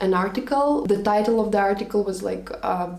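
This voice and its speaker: A woman with a Russian accent, medium pitch and ordinary pitch variation at a moderate pace, with audible room echo and noticeable background noise. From Latvia, Russian-speaking family. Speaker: vlogger. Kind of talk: storytime monologue.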